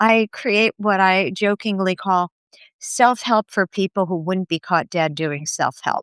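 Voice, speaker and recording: On a very clean recording with a silent background, a woman speaks at a fairly slow pace. Her medium pitch shows ordinary pitch variation, and the sound is dry and close with no echo. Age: 60s. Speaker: author. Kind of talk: interview.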